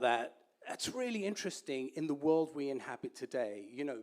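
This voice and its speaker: With an English accent, a man speaks at a moderate pace using very wide pitch swings. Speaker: entrepreneur, guest speaker. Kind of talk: lecture.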